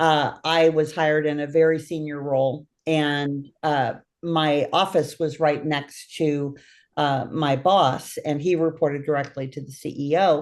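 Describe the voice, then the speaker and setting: Against a quiet background, a woman with a very deep, low pitch talks at a fairly slow pace in a monotone, flat intonation. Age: 60s. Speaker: podcast host. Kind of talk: interview.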